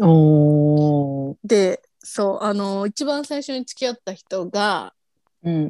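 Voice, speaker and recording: At a very slow pace, a woman with a medium pitch and a dark, mellow tone speaks with very wide pitch swings and big swings in loudness, the sound dry and close with no echo. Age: 30s. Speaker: podcast co-host. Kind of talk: casual chat. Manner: animated.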